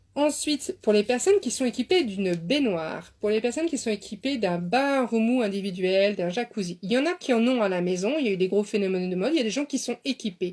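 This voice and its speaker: The tone is animated, with lively intonation. The pace is fairly quick. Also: woman, fairly high pitch for a woman. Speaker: beautician and dietitian. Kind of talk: live stream talk. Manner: fast.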